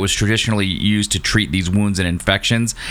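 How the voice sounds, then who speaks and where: Noticeable background noise sits behind a man with a fairly low pitch. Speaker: science podcast host. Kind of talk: casual chat. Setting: remote recording, iPad and preamp. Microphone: new microphone, sounds far away.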